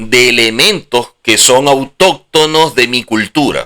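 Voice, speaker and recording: Speaking at a fairly slow pace, a man with a Venezuelan accent has a bright, sharp tone and ordinary pitch variation. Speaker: religious teacher. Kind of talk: religious lecture.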